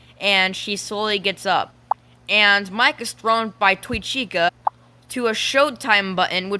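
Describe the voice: Here someone is doing plain reading aloud.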